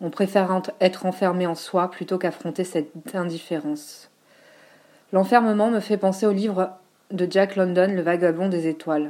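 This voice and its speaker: A woman with a dark, mellow tone, fairly even intonation and long, frequent pauses. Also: medium pitch for a woman, moderate pace. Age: 40s. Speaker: teacher and writing collective founder. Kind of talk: reading aloud.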